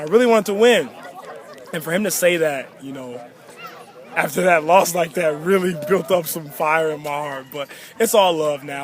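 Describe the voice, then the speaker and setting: Noticeable background noise runs under a man speaking at a fairly quick pace with lively intonation. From Chicago, Illinois (born in Nigeria). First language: Yoruba. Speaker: college football player. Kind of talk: interview.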